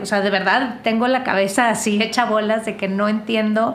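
A woman with a fairly high pitch talks at a moderate pace with fairly even intonation. Audible room echo and noticeable background noise surround her. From northern Mexico. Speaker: podcast host. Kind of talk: casual chat.

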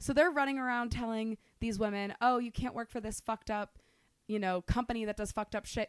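Loud and animated, a woman talks at a very fast pace, her voice dry and close with no echo in a very clean recording over a silent background. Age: 20s. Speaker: podcast co-host. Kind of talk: casual chat.

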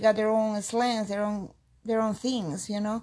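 With a Peruvian accent, a woman speaks at a fairly high pitch. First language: Spanish. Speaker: immigrant interviewee, aspiring nurse. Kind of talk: interview. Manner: halting.

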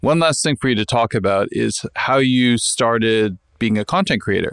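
Recorded very cleanly against a silent background, dry and close with no echo, a man with an unremarkable speaking voice talks at a medium pitch and moderate pace with ordinary pitch variation. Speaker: podcast host. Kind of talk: casual interview.

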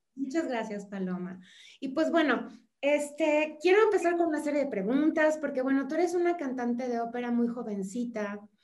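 With audible room echo, a woman speaks at a high pitch and a moderate pace with lively intonation. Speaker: podcast host. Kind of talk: interview.

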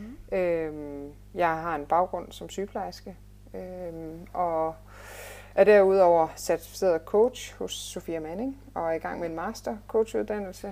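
A woman talks at a very slow pace with lively intonation. Her tone is dark and mellow. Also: big swings in loudness. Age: 30s. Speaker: fitness and life coach, former nurse. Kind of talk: interview. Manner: hesitant, many filler sounds.

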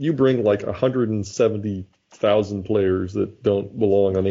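This man has an ordinary speaking voice pitched fairly low. His pitch variation is ordinary. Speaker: podcast host. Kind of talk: casual chat.

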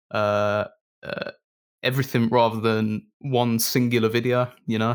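A man with a Brummie accent speaks at a medium pitch and a fairly slow pace, with long, frequent pauses. His intonation is monotone and flat, in a very clean recording with a silent background. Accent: Brummie (Birmingham English). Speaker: video post-production lead and musician. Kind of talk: casual interview chat. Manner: hesitant, many fillers.

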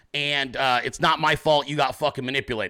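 A man shouts loudly at a fairly quick pace in a fairly high, bright, sharp tone, in a very clean recording with a silent background. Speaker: political podcast host. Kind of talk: political commentary monologue. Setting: home office, live video stream. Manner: loud, yelling.

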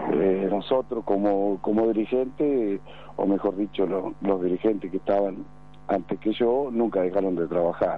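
A man with an ordinary speaking voice, fairly low pitch, ordinary pitch variation, very even loudness and a moderate pace. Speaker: club president. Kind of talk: radio interview. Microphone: poor connection.

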